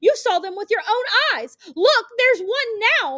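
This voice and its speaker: A woman uses a put-on character voice that is squeaky and extremely high-pitched. Her intonation is lively and her pace is moderate. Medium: read story. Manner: theatrical, self-pitying, then sneering.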